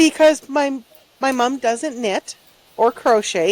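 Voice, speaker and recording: Speaking at a high pitch and a moderate pace, a woman shows ordinary pitch variation. The sound is dry and close with no echo, with noticeable background noise. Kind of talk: casual chat. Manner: soft-spoken.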